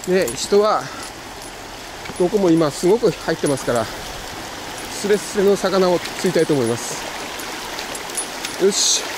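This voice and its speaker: Noticeable background noise runs under the voice. The sound is dry with no echo. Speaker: angler vlogger. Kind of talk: casual vlog chat. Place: waterside. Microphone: phone near.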